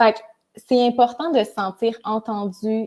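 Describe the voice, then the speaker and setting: With a Quebec accent, a woman with a fairly high pitch and a dark, mellow tone speaks at a fairly slow pace and fairly even intonation. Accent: Québécois French. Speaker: psychosocial worker. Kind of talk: live stream chat. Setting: Facebook live.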